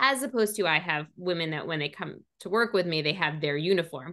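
Over a quiet background, a woman speaks with a New York accent. Her fairly low voice has a bright, sharp tone. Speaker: image consultant. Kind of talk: interview. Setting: video call.

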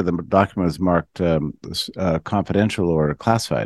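Speaking at a fairly quick pace with lively intonation, a man in a normal speaking voice is heard in a dry, close recording with no echo. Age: 50s. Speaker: writer and think-tank founder. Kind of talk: interview conversation. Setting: radio show.

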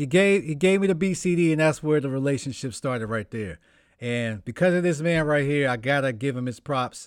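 In an American accent, a man speaks at a fairly quick pace in a plain, everyday voice. His fairly high pitch has lively intonation, and the recording is very clean with a silent background. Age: 30s. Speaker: podcast host and rapper. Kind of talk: casual chat.

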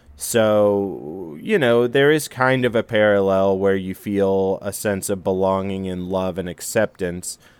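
Fairly low in pitch, a man with an unremarkable speaking voice talks at a fairly slow pace, with ordinary pitch variation and hardly any pauses. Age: 30s. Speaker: actor and comedy writer. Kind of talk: casual chat. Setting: studio.

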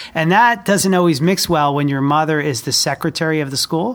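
This is a man with a plain, everyday voice and an American accent. His pitch is fairly high, with ordinary variation. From New Jersey, Jersey Shore. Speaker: school superintendent. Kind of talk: interview conversation.

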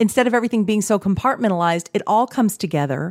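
A woman's ordinary speaking voice at medium pitch, lively in intonation, in a very clean recording with a silent background and a dry, close sound with no echo. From Texas. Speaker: podcast host, holistic spiritual coach. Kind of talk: casual chat.

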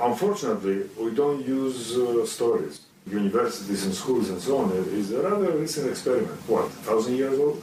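A man with a Greek accent talks at a fairly quick pace with hardly any pauses, his medium pitch swinging very widely. Audible room echo and noticeable background noise fill the recording. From Greece. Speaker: computer scientist and graphic novel author. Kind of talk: interview with children. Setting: video call. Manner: halting, with fillers.

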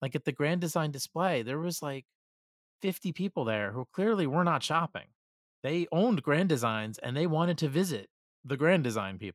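At a moderate pace, a man speaks in a normal speaking voice. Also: fairly high pitch for a man, lively intonation. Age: 40s. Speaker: podcast host, RV travel author. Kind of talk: casual chat.

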